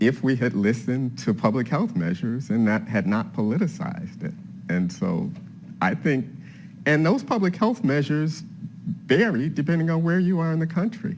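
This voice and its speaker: With very wide pitch swings and vocal fry, a man talks at a moderate pace in a fairly high pitch. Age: 60s. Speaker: history professor. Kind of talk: panel discussion.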